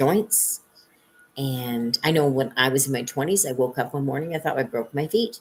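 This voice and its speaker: Her intonation lively, a woman speaks with a very deep, low pitch. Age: 60s. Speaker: psychic reader. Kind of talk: live stream monologue. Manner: casual, with many fillers.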